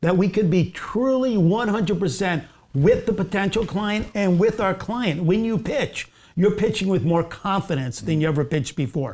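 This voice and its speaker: A man with a high voice and an American accent, with ordinary pitch variation. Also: moderate pace. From New Jersey. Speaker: advertising agency founder; interview guest. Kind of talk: casual interview. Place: studio.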